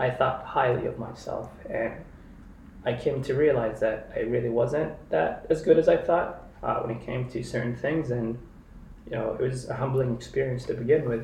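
A moderate pace with audible room echo. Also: man. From Kenya. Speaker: software engineer. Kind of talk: casual interview.

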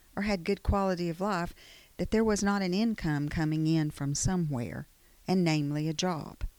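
Her fairly low voice moving with ordinary pitch variation, a woman speaks at a moderate pace on a very clean recording with a silent background. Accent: Alabama. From Alabama. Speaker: economic development manager. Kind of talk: interview.

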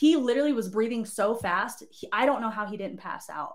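A woman with an American accent and a normal speaking voice, lively intonation and a moderate pace. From Southern California (Barstow). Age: 20s. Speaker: army drill instructor. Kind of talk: casual chat. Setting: live stream studio.

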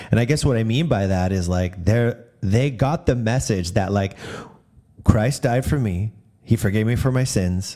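Noticeable background noise sits behind this recording. A man speaks at a fairly low pitch with ordinary pitch variation. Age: 40s. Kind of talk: casual devotional talk. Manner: casual with frequent fillers.

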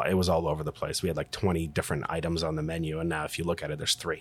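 The recording is very clean, with a silent background. A man speaks in a flat monotone at a very deep, low pitch. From Ukraine, moved to the US at eleven. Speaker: recovery clinic owner. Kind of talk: casual interview. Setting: in person at his clinic.

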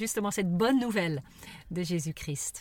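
This woman has an ordinary speaking voice at a medium pitch. She talks at a fairly slow pace with lively intonation. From raised abroad, missionary parents. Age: 50s. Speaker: podcast co-host. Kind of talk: casual conversation. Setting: in a parked car.

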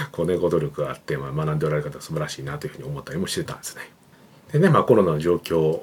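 Very fast speech from a man, with big swings in loudness. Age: 40s. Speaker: creative director and YouTube channel host. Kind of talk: solo business talk to camera. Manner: casual, filler-heavy with frequent ね and まあ.

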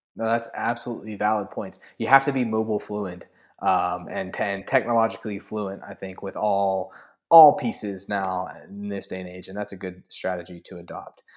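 Speaking at a moderate pace, a man has an ordinary speaking voice, a fairly low pitch and big swings in loudness. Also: ordinary pitch variation. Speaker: podcast host and adjunct professor. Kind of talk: interview, conversational podcast.

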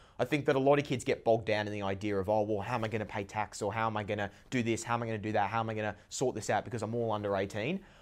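A man with an Australian accent talks at a very fast pace with hardly any pauses, his fairly low pitch held to fairly even intonation. The recording is very clean, with a silent background. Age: young. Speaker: young entrepreneur. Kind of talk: podcast interview.

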